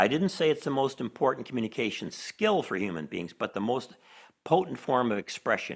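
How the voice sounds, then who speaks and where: The recording is very clean, with a silent background. The speaker has a Chicago accent. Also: man. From Chicago, US Midwest. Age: old. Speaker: professor and author. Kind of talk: interview conversation.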